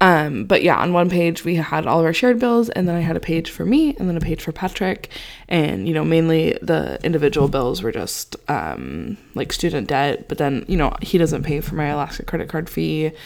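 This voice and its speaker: This woman's voice sits at a fairly low pitch. She talks at a moderate pace. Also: hardly any pauses. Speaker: podcast host. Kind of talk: casual chat. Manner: monotone.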